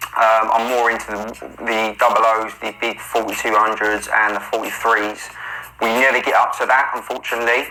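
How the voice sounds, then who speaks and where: A man with a London accent, monotone and flat, over noticeable background noise. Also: medium pitch for a man, moderate pace. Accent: London accent, remarked on by commenters. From South London, England. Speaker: day trader and trading mentor. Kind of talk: trade walkthrough narration. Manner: hesitant, many 'um' fillers.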